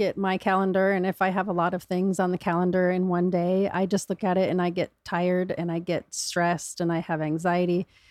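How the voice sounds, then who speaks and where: A woman with an American accent speaks in a normal speaking voice at a fairly quick pace, with hardly any pauses and very even loudness. The recording is very clean with a silent background, and the sound is dry and close with no echo. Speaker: cancer survivor. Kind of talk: casual interview chat.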